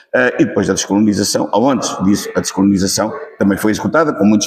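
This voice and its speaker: Talking at a very fast pace, a man speaks with a European Portuguese accent. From central Portugal, Leiria region. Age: 70s. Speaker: witness of the revolution. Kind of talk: interview testimony. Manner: hesitant, many fillers.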